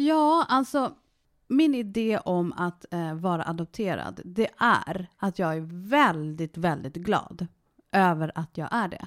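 At a very slow pace, a woman with a medium pitch makes very wide pitch swings. The very clean recording has a silent background and a dry, close sound with no echo. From Sweden, Värmdö. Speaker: interviewee, adoptee. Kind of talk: casual interview.

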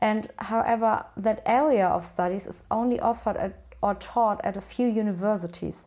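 A woman with a German accent speaks at a moderate pace with hardly any pauses. Her dark, mellow tone sits at a fairly high pitch with ordinary pitch variation. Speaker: podcast host. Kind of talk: interview.

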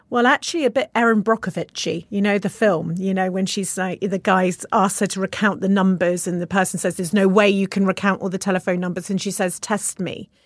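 A woman talks at a fairly quick pace in a normal speaking voice, medium in pitch. The sound is dry and close with no echo, in a very clean recording with a silent background. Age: 40s. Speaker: entrepreneur. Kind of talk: interview. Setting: studio.

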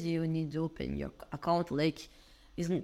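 Recorded very cleanly against a silent background, a woman with a Brazilian accent speaks in a fairly low pitch with monotone, flat intonation. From Brazil, Minas Gerais. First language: Portuguese. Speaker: entrepreneur, event organizer. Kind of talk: casual interview chat.

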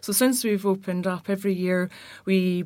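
A woman speaks in a Glaswegian accent at a moderate pace. Her intonation is monotone and flat, in a very clean recording with a silent background. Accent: Glaswegian Scottish. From Glasgow, Scotland. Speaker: architect. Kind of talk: casual chat.

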